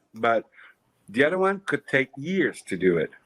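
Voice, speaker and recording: Fairly slow speech in a Quebec French accent, with a dry, close sound and no echo. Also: man. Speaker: clothing designer. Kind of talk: casual chat. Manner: halting.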